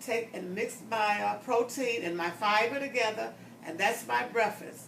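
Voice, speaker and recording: The room echo is audible. A woman speaks at a medium pitch. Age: 70s. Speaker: customer giving a testimonial. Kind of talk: testimony.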